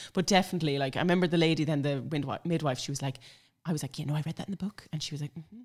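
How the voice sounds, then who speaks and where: A woman with a very deep, low voice and a northwestern Irish accent, talking at a very fast pace with ordinary pitch variation, on a very clean recording with a silent background. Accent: Irish (north-west). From Ireland, Sligo. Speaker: blogger and mother. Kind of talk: casual chat. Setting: at home.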